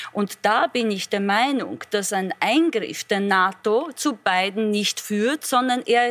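Over noticeable background noise, a woman talks at a very slow pace with hardly any pauses, lively intonation, and a dry, close sound with no echo. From Poland. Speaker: politician. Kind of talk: panel debate.

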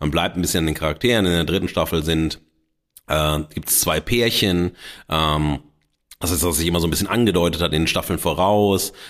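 The recording is very clean with a silent background. The speech moves at a fairly quick pace with very even loudness. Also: man. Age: 50s. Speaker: podcast host and media scholar. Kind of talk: solo improvised monologue. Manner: animated; hesitant with fillers.

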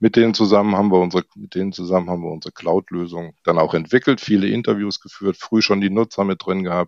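Against a quiet background with a dry, close sound and no echo, a man with a very deep, low voice talks very fast, with fairly even intonation and big swings in loudness. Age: 60s. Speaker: software product manager. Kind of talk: interview.

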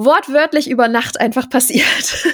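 In a very clean recording with a silent background, a woman speaks at a fairly slow pace. She has a plain, everyday voice with ordinary pitch variation. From Germany, small town. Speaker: journalist and content creator. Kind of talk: interview.

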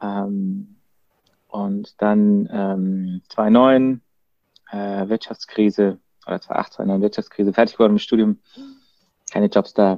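A man's very slow, fairly low, dark and mellow voice, monotone and flat, with long, frequent pauses and a dry, close sound free of echo. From Baden, southwest Germany (Freiburg). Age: 30s. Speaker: marketing agency co-founder. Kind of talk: casual chat. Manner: halting, many fillers.

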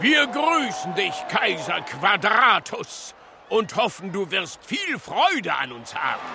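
Putting on a character voice, a man speaks slowly at a high pitch with a bright, sharp tone, vocal fry and big pitch swings, over faint background noise.

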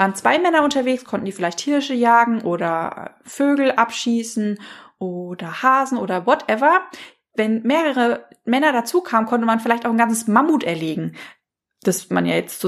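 On a very clean recording with a silent background, a woman speaks at a moderate pace and fairly high pitch, her pitch swinging very widely. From Hesse, Germany. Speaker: life coach and podcast host. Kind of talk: solo podcast monologue. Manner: warm and enthusiastic.

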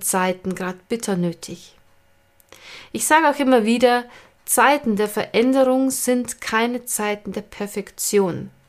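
A woman's fairly high voice, fairly slow with long, frequent pauses and ordinary pitch variation, on a very clean recording with a silent background. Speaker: podcast host and stress management coach. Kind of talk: monologue. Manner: casual, unscripted.

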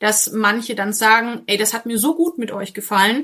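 This woman has a bright, sharp tone at a fairly high pitch and keeps a moderate pace. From Franconia, northern Bavaria (near Coburg/Kronach). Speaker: dog trainer. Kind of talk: casual interview. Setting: video call from home office.

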